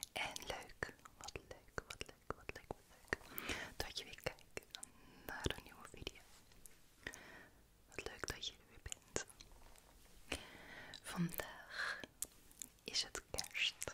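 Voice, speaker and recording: Whispering from a woman, very slow, broken by long, frequent pauses. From Netherlands. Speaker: ASMR content creator. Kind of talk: ASMR whisper talk to camera. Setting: close-up studio microphone. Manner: whispered, soft, relaxing. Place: home room. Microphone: studio mic.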